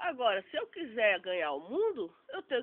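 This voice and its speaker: Very wide swings mark this woman's pitch. Her pace stays moderate. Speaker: online theology student. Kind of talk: informal religious talk.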